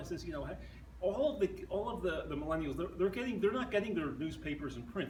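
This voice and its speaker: A man speaks with an American accent. Audible room echo and noticeable background noise surround his voice. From southeastern Pennsylvania. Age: 60s. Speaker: newspaper journalist. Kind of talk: talk with audience Q&A. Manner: halting, many restarts.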